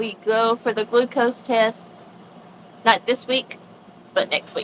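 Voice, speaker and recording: Very slowly and in a monotone, flat intonation, a woman with a fairly high voice talks with a Southern US accent. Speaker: crochet designer on a live stream. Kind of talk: casual chat. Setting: live stream.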